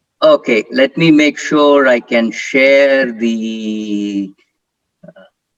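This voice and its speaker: A man's medium-pitched voice moves very slowly, its pitch varying in an ordinary way. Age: 60s. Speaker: professor, keynote speaker. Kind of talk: conference keynote talk. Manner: hesitant, many fillers.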